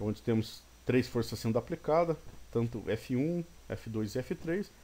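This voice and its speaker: The man speaks at medium pitch in a dark, mellow tone. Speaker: engineering teacher. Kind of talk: recorded lecture. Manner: fast at times; halting, many false starts.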